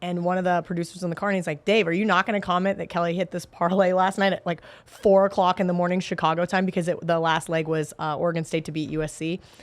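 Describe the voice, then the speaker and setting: A woman's fairly low, animated voice with an American accent, very fast with hardly any pauses, over noticeable background noise. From Kansas. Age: 30s. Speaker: sports betting analyst. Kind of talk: casual chat.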